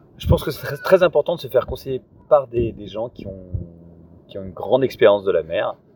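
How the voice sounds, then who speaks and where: A man talks at a fairly quick pace yet leaves long, frequent pauses, with big swings in loudness. Noticeable background noise sits behind him. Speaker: paragliding instructor and sailor. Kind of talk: interview. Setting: outdoors.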